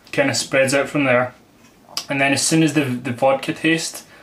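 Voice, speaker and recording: A man with a Scottish accent at a moderate pace, amid noticeable background noise. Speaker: vodka reviewer. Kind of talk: product review. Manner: casual, conversational.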